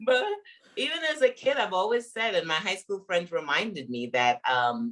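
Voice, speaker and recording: With a Caribbean accent, a woman speaks in a bright, sharp tone. Her pitch swings very widely. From Guyana, raised in Brooklyn. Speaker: business coach and author. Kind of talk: interview. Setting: livestream.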